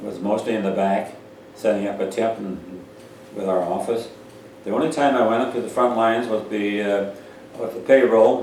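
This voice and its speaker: A man's fairly low voice with an American accent, fairly even intonation, a moderate pace and long, frequent pauses, with audible room echo and noticeable background noise. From North Dakota, Pierce County. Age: 90s. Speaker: war veteran. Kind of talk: oral history interview. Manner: halting.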